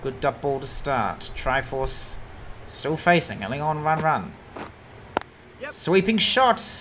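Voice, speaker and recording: Speaking very slowly with long, frequent pauses, a woman with a very deep, low voice makes very wide pitch swings over noticeable background noise. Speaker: sports commentator. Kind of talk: live sports commentary. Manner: animated.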